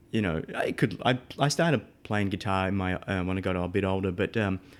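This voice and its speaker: Fairly quick speech from a man in an Australian accent, fairly low in pitch, on a very clean recording with a silent background. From Australia, Melbourne. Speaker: audio engineer. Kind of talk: interview.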